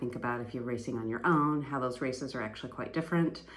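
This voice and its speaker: A woman speaks with an American accent. The room echo is audible. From US Pacific Northwest. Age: 50s. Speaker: fitness vlogger, amateur athlete. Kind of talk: casual vlog monologue. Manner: conversational with many fillers.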